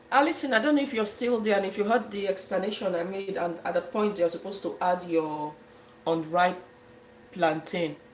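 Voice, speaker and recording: With a Nigerian accent, a woman speaks at a moderate pace in a medium pitch with ordinary variation, over noticeable background noise. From Nigeria, Efik region (southeast). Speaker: cooking livestreamer. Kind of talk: live cooking stream, casual chat with viewers.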